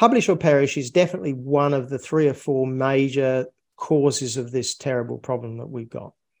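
This man speaks with an Australian accent. His pitch is medium, with ordinary variation. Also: fairly quick pace. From Australia (North Queensland), moved from England at 10. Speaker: physicist, scientist. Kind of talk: interview. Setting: remote interview.

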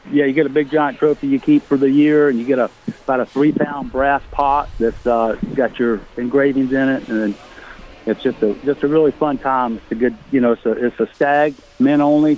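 In an American accent, a man with a fairly high voice talks at a moderate pace with fairly even intonation, the sound dry and close with no echo, over noticeable background noise. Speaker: caller. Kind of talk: casual chat. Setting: phone call.

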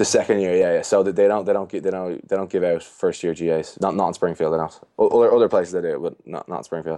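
A man talks at a very fast pace with a Dublin accent. He leaves hardly any pauses. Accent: Irish (Dublin). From Ireland, Dublin. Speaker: strength and conditioning coach. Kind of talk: casual chat.

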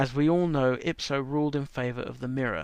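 This man talks at a fairly quick pace with an English accent, a medium pitch and ordinary pitch variation. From England. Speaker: commentator on media regulation. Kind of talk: prepared commentary segment.

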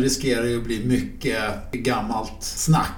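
Noticeable background noise and audible room echo around a man whose pitch varies in an ordinary way. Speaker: podcast host. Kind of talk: casual chat.

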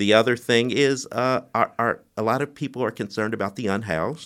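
A man's normal speaking voice at a moderate pace with ordinary pitch variation, in a very clean recording with a silent background. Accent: American. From US Midwest (Bloomington, Indiana). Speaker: mayoral candidate and realtor. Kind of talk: interview.

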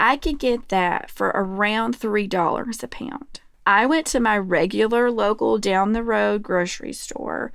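A woman with an American accent speaks in a normal speaking voice, fairly high-pitched with ordinary pitch variation. Her pace is fairly slow, with hardly any pauses. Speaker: podcast co-host. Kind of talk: casual chat.

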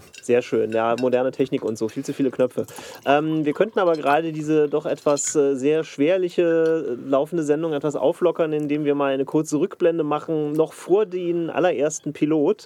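With hardly any pauses, a man talks at a moderate pace against noticeable background noise. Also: fairly high pitch for a man, fairly even intonation. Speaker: producer. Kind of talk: casual chat. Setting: control room. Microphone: worse mic, sounds tinny.

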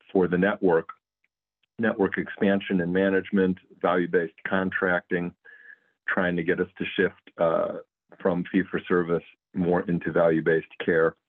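In a Midwestern American accent, a man with a very deep, low voice speaks at a moderate pace in a monotone, flat intonation with long, frequent pauses. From US Midwest, Cleveland, Ohio. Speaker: physician and health plan executive. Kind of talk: interview.

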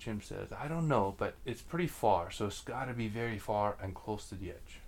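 The text is plainly read aloud. Its pitch moves in a lively way.

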